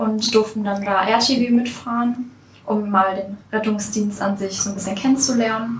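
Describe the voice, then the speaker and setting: With a fairly high pitch and monotone, flat intonation, a woman talks at a moderate pace amid audible room echo and noticeable background noise. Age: young. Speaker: federal volunteer service worker. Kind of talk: podcast interview.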